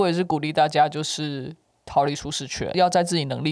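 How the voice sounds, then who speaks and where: Speech comes at a fairly quick pace on a very clean recording with a silent background. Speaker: podcast co-host, sales worker. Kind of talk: casual chat.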